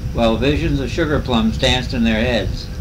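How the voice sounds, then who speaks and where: A man with an American accent speaks at a moderate pace. Noticeable background noise runs underneath. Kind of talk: poetry reading. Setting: motel room, home recording.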